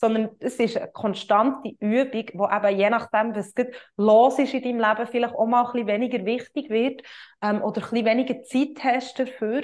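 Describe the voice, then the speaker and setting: Against a quiet background, a woman speaks at a moderate pace in a fairly high pitch with fairly even intonation. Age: 20s. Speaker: yoga teacher and coach, podcast host. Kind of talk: solo podcast monologue, explanatory. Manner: hesitant, many filler sounds.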